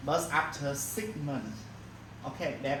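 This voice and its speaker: Someone with a Vietnamese accent speaks at a fairly slow pace over noticeable background noise. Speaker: university lecturer. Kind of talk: lecture. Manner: halting, many fillers.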